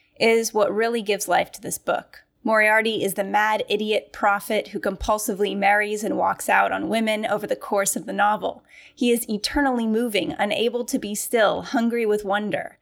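A woman speaks at a moderate pace in a plain, everyday voice, pitched fairly high with ordinary pitch variation. The recording is very clean, with a silent background. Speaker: literary scholar, podcast co-host. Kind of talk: casual discussion.

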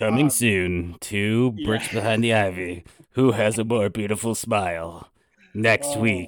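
A put-on character voice from a man at a fairly slow pace. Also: fairly low pitch for a man. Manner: dramatic, teasing.

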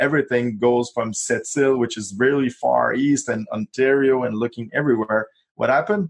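With a Quebec accent, a man talks at a moderate pace and medium pitch, his pitch varying in an ordinary way. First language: French. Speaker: real estate investor. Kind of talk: interview.

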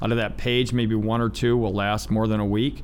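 There is audible room echo on this fairly low male voice. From Ohio, US. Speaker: business owner and navy veteran. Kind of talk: interview. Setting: studio.

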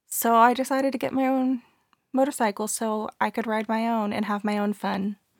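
In an American accent, a woman speaks with an ordinary speaking voice, fairly high in pitch and fairly even in intonation, at a moderate pace, with a dry, close sound and no echo. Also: very clean recording, silent background. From Texas, Austin area. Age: 20s. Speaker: youth leader. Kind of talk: casual chat. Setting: at the host's home.

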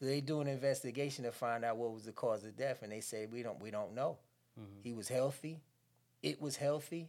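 An ordinary speaking voice with an American accent moves at a fairly quick pace, with big swings in loudness. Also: man, medium pitch for a man, ordinary pitch variation. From New Jersey. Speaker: former prisoner and author. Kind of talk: interview testimony.

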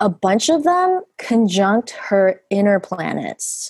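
A woman talks while music plays in the background. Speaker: astrologer. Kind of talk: astrology reading. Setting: phone call.

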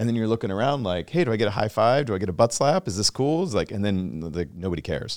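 A man with an American accent and lively intonation, very fast and with hardly any pauses, on a very clean recording with a silent background. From Washington State. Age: 40s. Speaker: podcast host. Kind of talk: casual interview chat.

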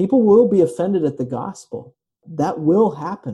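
A man talks at a fairly slow pace with a somewhat breathy, dark, mellow tone. His intonation is lively. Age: 30s. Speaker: pastor. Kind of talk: sermon.

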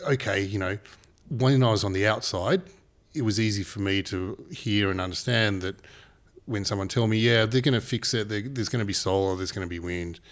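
A man speaks with an Australian accent. His voice is fairly low, and his pace is moderate. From Papua New Guinea. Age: 40s. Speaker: renewable energy businessman. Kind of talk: casual interview chat.

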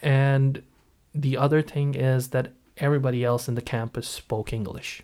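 Speaking with an American accent, a man talks at a fairly slow pace and a medium pitch. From Pakistan. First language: Punjabi. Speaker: architect and English teacher. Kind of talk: casual interview. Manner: halting, hesitant.

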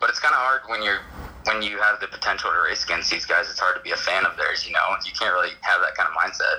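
The man rattles along at a very fast pace amid noticeable background noise. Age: 20s. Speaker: sprint car racer. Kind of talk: casual interview.

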